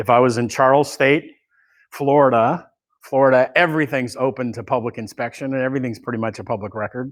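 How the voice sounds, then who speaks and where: In a very clean recording with a silent background, a man with a Californian accent talks at a medium pitch and a fairly quick pace. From California, Bay Area. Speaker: law enforcement records manager and instructor. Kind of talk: training lecture.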